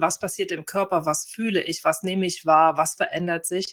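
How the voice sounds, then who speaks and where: This woman has an unremarkable speaking voice with a fairly low pitch. Her intonation is fairly even. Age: 40s. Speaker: family lawyer retraining as osteopath. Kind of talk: interview conversation.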